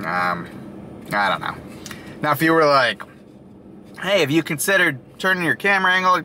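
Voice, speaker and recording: A man at a moderate pace, dry sound with no echo, light background noise. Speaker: food reviewer. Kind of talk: casual vlog chat. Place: car. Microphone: phone near.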